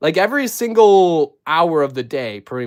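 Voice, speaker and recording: A man with a slight Minnesotan accent speaks at a moderate pace in a fairly high voice. His tone is animated, with very wide pitch swings. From Minnesota, US. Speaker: YouTuber building LEGO figures. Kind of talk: live stream chat. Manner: casual, animated.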